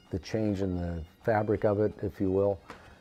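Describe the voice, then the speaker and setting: The speaker has an American accent and a moderate pace. Pitch varies in an ordinary way, with music in the background. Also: man. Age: 60s. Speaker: former band drummer. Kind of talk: oral history interview. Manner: hesitant, many fillers.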